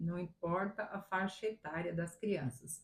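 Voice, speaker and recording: The delivery is fairly slow. There is a somewhat breathy quality to the voice. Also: woman. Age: 60s. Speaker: retired teacher. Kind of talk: interview. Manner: halting.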